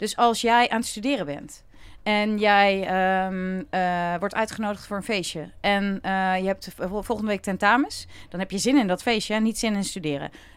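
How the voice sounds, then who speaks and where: A woman speaks at medium pitch in an ordinary speaking voice, at a moderate pace with ordinary pitch variation, on a very clean recording with a silent background. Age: 40s. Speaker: happiness coach. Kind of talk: casual chat.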